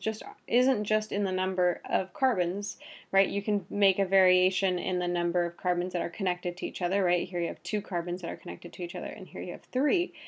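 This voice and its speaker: Her intonation fairly even, a woman speaks at a fairly quick pace in a medium pitch. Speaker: biology teacher. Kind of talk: lecture. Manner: fast.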